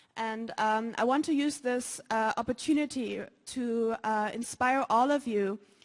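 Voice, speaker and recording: Her pitch is fairly high and her pace fairly slow. The woman speaks with a German accent and fairly even intonation. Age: young. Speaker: student. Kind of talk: conference talk. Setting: stage with audience. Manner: halting.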